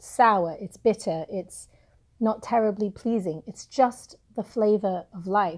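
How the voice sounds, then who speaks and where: On a very clean recording with a silent background, a woman with an English accent speaks at a fairly slow pace with ordinary pitch variation. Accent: English accent, obvious. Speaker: book reviewer, self-help vlogger. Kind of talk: casual vlog talk. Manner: halting, many fillers.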